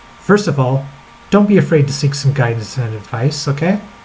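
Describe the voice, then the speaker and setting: Noticeable background noise sits behind a man's fairly high voice. He talks at a fairly quick pace with lively intonation. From rural, grew up on a family farm. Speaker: crossdresser. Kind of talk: letter read aloud to camera. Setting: laptop webcam.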